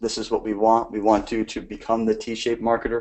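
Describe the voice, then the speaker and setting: This man's pitch sits in the medium range. He talks at a fairly quick pace. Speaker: growth marketing instructor. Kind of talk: online lecture. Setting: live stream. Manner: fast.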